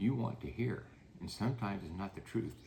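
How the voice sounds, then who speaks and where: Vocal fry marks this man's voice. He has an American accent and a medium pitch. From United States. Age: 80s+. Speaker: real estate developer. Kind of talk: interview. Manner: halting, many fillers.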